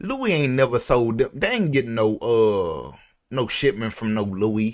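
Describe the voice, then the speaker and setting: Over a quiet background, a man with an American accent speaks fairly slowly in an animated tone, his pitch swinging very widely. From Houston, Texas (Fifth Ward). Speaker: YouTube reaction video creator. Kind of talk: casual reaction commentary.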